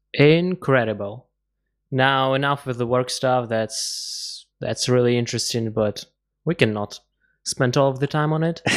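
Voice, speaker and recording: With a plain, everyday voice, a man talks at a fairly slow pace, medium in pitch and ordinary in pitch variation. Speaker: podcast host. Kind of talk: interview.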